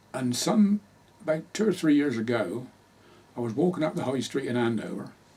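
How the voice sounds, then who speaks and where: A man talks at a fairly quick pace. He speaks with a rural Hampshire accent. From southern England, Hampshire. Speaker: local history interviewee. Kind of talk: oral history interview.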